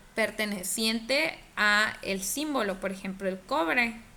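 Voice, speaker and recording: A fairly high-pitched woman's voice with a bright, sharp tone, ordinary pitch variation and audible room echo. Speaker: chemistry teacher. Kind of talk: online class lecture. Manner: hesitant, many fillers; speaking more quietly.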